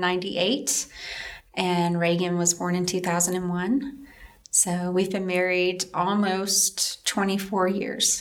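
A woman with a Southern US accent, medium pitch and very even loudness. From upstate South Carolina, Greenville-Spartanburg. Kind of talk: personal testimony interview.

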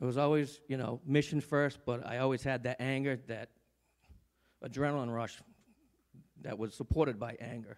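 A man of medium pitch speaks at a moderate pace with fairly even intonation and long, frequent pauses, in a very clean recording with a silent background. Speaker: church member speaking before offering. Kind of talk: testimony. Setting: church.

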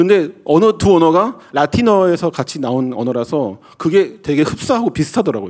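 At a moderate pace and with hardly any pauses, a man speaks at a fairly high pitch with very wide pitch swings. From South Korea. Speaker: pastor. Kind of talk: sermon.

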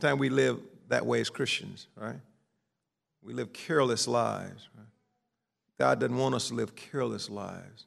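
A man talks in a Southern US accent, leaving long, frequent pauses. His loudness swings widely. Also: moderate pace. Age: 50s. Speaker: pastor. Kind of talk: sermon.

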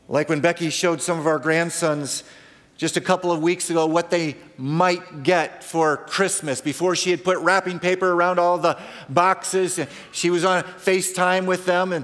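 High male voice at a moderate pace, fairly even intonation, noticeable background noise behind it. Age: 50s. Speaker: pastor. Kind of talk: sermon.

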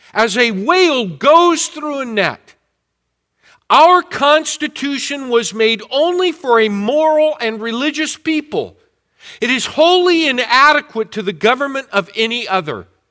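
Speaking in a raised, projected voice, a man has an extremely high pitch and a bright, sharp tone. His intonation is lively, his pace fairly slow, and the recording very clean with a silent background. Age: 60s. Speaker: pastor. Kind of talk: sermon. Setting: church.

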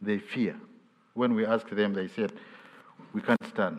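This man's medium-pitched voice moves in very wide pitch swings. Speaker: bishop. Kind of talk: sermon. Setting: church. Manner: halting.

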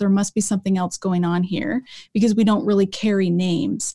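A somewhat breathy woman at a medium pitch with a dark, mellow tone, in a very clean recording with a silent background and a dry, close sound with no echo. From Colorado, US. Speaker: Old Testament professor and author. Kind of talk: casual interview conversation.

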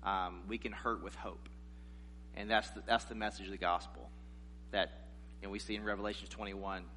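A man with an American accent, very deep and low in pitch, with vocal fry, a bright and sharp tone, very wide pitch swings, a moderate pace, and long, frequent pauses. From South Carolina, US South. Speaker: guest preacher. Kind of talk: sermon.

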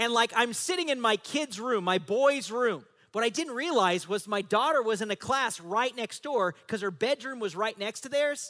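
With hardly any pauses, a man projects a raised voice at a moderate pace, extremely high-pitched, bright and sharp, animated, with lively intonation. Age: 40s. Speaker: pastor. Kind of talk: sermon. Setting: church.

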